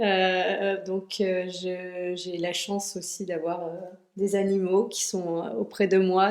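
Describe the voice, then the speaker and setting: A woman is speaking. Her pace is very slow. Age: 30s. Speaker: cosmetics brand founder. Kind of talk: podcast interview. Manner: halting, many hesitations.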